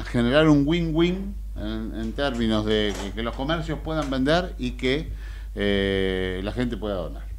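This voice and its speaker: A man speaks over light background noise. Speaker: radio show host. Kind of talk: radio host presentation. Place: studio. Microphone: studio mic.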